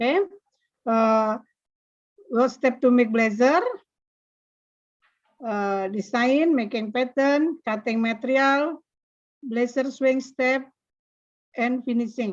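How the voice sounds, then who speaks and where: A woman's high-pitched voice in an Indonesian accent, at a very slow pace with long, frequent pauses. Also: ordinary pitch variation. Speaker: vocational school teacher. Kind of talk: presentation. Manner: halting.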